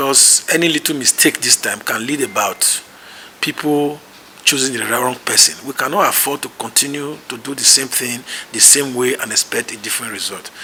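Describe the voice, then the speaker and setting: A man with a fairly high voice talks at a fairly quick clip, his intonation fairly even, over noticeable background noise. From Nigeria, Benin City. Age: 60s. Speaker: political candidate. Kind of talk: interview.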